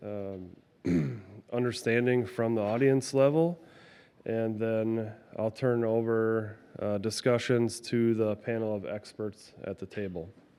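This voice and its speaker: A man's medium-pitched voice with a dark, mellow tone, a very slow pace and fairly even intonation. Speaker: laboratory manager. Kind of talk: conference presentation. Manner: hesitant, many fillers.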